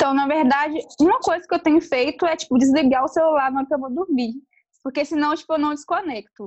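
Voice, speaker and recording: Her pitch is high, with ordinary variation. The woman speaks at a very fast pace. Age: 20s. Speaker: entrepreneur. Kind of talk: interview.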